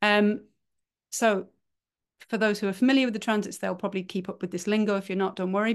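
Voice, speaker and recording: In a quiet setting, a woman talks at a medium pitch. She has a normal speaking voice with fairly even intonation. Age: 40s. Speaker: human design teacher. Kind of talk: casual chat.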